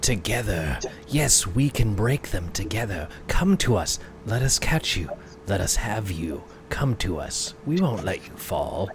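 A man's whispering, hissing put-on character voice at a fairly slow pace, over clear background noise

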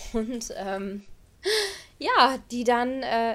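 A woman speaks with lively intonation. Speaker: spiritual podcast host and coach. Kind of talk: solo podcast talk. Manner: animated, frequent laughter.

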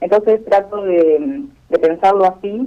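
A woman's dark, mellow voice with ordinary pitch variation. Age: 40s. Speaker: freediving athlete. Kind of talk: interview. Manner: hesitant, many fillers.

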